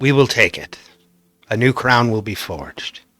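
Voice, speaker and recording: A man's put-on character voice at medium pitch, with ordinary pitch variation. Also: moderate pace. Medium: actual play. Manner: formal, solemn.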